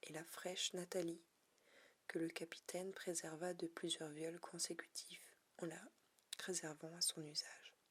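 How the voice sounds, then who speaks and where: A soft-spoken woman whispers at a fairly slow pace, leaving long, frequent pauses. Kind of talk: ASMR reading of a short story to relax and sleep. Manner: whispered, soft-spoken.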